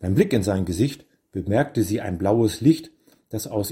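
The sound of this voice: This is an unforced reading voice. The background is quiet.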